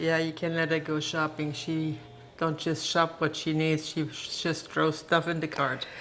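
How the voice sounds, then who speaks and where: With a German accent, the speaker talks at a fairly slow pace in a monotone, flat intonation. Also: woman, very deep, low pitch for a woman. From Germany. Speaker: host's mother, home cook. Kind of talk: casual chat while cooking.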